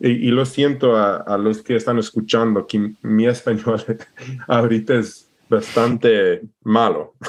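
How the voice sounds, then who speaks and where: At a fairly slow pace, a man with an American accent talks in a flat monotone at a medium pitch, his loudness very even throughout. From Alaska, US. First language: English (speaking Spanish). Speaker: permaculturist and entrepreneur. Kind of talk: podcast interview. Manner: halting, searching for words.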